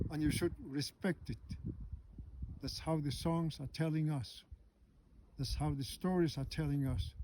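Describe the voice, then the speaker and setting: Fairly slow, with long and frequent pauses, a man speaks in a fairly high, somewhat breathy voice with a dark, mellow tone. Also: ordinary pitch variation. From Greenland. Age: 60s. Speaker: storyteller. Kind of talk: spoken reflection.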